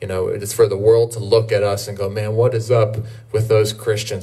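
A somewhat breathy male voice. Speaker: pastor. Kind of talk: church announcements and short sermon. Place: street.

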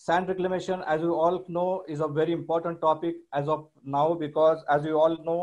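A man with a high pitch, fairly even intonation, and a moderate pace, in a quiet background. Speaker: webinar host. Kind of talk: formal introduction speech. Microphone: video call.

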